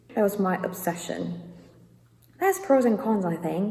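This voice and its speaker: Noticeable background noise sits behind a woman speaking in a British accent. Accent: British English, learned. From South Korea. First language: Korean. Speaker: YouTuber. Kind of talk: casual vlog talk.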